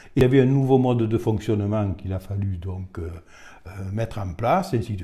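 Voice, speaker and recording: On a very clean recording with a silent background, a man with a fairly low pitch and a dark, mellow, somewhat breathy tone talks at a fairly quick pace. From Bigorre, southwestern France. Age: 70s. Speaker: retired rugby official. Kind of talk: interview monologue. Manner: hesitant, many fillers.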